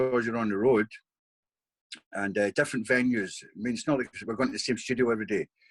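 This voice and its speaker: With a dry, close sound and no echo, a man in a Scottish accent talks at a fairly quick pace and medium pitch. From Scotland. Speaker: bodyguard. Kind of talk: interview answer. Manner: casual, conversational.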